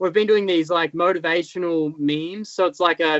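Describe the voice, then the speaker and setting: Speaking in an Australian accent, a man uses a high pitch at a moderate pace. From rural Australia. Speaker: motocross stunt rider. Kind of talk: casual interview chat. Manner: halting, many fillers.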